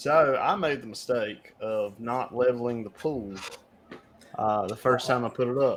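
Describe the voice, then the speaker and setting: A man talks with ordinary pitch variation. Noticeable background noise runs under his voice. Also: medium pitch for a man, fairly slow pace. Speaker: podcast co-host. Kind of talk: casual chat.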